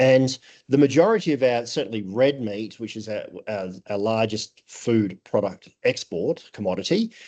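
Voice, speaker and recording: With an Australian accent, a man talks at a moderate pace. His tone is dark and mellow, with big swings in loudness. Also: medium pitch for a man, ordinary pitch variation. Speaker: food safety trainer and auditor. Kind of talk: conference presentation. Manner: halting, many fillers.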